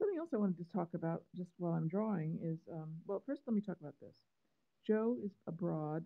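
Against a quiet background, a woman speaks at a fairly low pitch with ordinary pitch variation and big swings in loudness. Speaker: cartoonist. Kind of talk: live-stream drawing chat. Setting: live stream from phone. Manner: halting, many fillers. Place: home room. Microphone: phone near.

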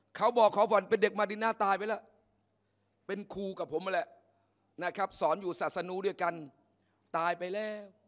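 A man with a high pitch speaks in fairly even intonation against a quiet background. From Thailand. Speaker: Islamic teacher. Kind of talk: sermon. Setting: mosque. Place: hall. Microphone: podium.

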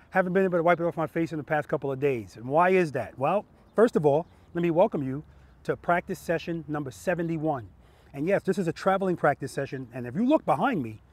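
A man's voice at a very fast pace, with ordinary pitch variation and a dry sound with no echo. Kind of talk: casual vlog intro. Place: street.

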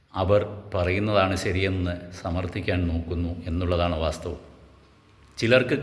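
A somewhat breathy voice with ordinary pitch variation comes through with audible room echo. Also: man. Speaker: YouTuber. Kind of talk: monologue. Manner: halting.

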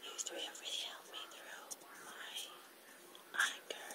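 Noticeable background noise accompanies a woman's whisper at a moderate pace. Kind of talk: ASMR whisper talk to camera. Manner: whispered.

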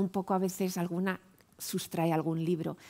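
A woman's fairly low voice moves at a fairly slow pace, its intonation monotone and flat. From Spain, León; Spain. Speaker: professor. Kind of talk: round-table talk. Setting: stage with audience. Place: hall. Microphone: headset.

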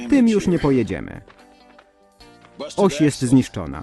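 A fairly high-pitched man with very wide pitch swings, music in the background. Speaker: fan voice-over performer (lektor). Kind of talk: Polish voice-over reading of a translated cartoon (szeptanka).

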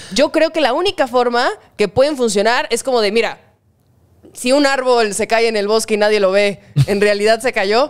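In a Mexican accent, a woman speaks against a quiet background. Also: ordinary pitch variation, moderate pace. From Mexico. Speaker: online content creator. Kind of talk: casual chat. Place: home room. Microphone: studio mic.

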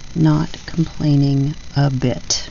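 A woman with light background noise. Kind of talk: casual crafting tutorial chat. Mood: cheerful, relaxed.

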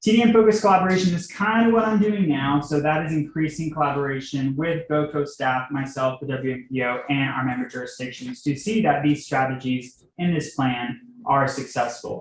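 A man's fairly high, somewhat breathy voice, fairly quick with hardly any pauses and lively intonation. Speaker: transportation planner presenting to town board. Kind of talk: presentation at public meeting. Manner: fast; filler-heavy, um and uh.

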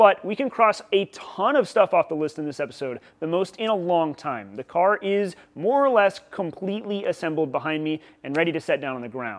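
The speaker is a man talking at a fairly quick pace. The background is quiet. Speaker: channel host. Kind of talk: casual vlog chat. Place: workshop. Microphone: lapel.

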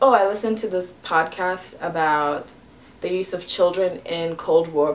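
A woman with a Botswana accent speaks with a fairly low pitch. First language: Setswana. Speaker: stand-up comedian. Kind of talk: casual talk to camera.

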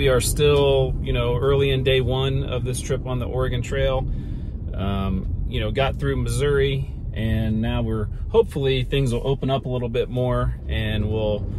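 A man at a moderate pace, dry sound with no echo, noticeable background noise behind him. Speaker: road trip vlogger. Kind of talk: casual vlog chat. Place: car. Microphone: phone near.

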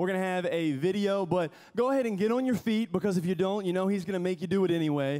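A man talks very fast in a high pitch. His tone is dark and mellow, with ordinary pitch variation. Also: very even loudness, quiet background. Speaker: school chapel pastor. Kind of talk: chapel talk and prayer. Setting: school chapel with students. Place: stage. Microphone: handheld.

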